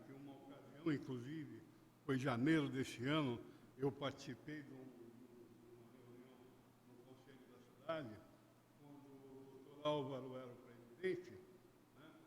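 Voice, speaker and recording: Audible room echo frames a man's voice. He speaks at a fairly slow pace with ordinary pitch variation. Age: 70s. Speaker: citizen speaking at public hearing. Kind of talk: public hearing statement. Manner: halting.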